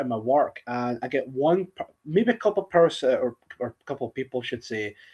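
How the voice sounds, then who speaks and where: A man with a Scottish accent talks at a fairly quick pace with very wide pitch swings. The background is quiet. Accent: soft Scottish. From Scotland, central belt. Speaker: streamer. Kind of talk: casual chat. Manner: halting, repeats words.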